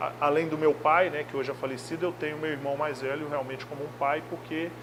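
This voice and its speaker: Over noticeable background noise, a man speaks at a fairly quick pace in a monotone, flat intonation with a fairly high pitch. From Brazil, Minas Gerais (Belo Horizonte). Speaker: football coach. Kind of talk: interview.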